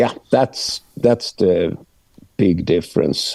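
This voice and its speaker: A man's dark, mellow voice with lively intonation, in a dry, close recording with no echo and a very clean, silent background. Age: 60s. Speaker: metal singer. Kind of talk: interview. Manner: halting.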